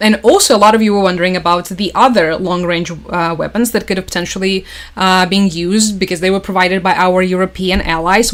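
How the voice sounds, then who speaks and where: With a Russian accent, this woman talks at a fairly quick pace with hardly any pauses. Her pitch is medium and her intonation fairly even. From Crimea, southern Ukraine. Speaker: political news commentator. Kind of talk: livestream commentary. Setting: livestream. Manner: casual, filler-heavy.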